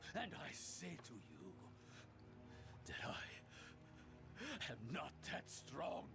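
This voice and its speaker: Doing a put-on character voice, a man speaks at a very slow pace with long, frequent pauses over loud background noise. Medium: video game.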